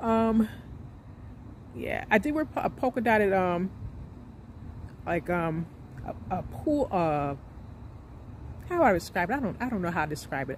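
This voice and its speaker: A woman speaks at a moderate pace and a medium pitch, with long, frequent pauses. Her pitch swings very widely. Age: 40s. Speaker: vlogger. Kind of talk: casual monologue vlog. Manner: hesitant with many fillers.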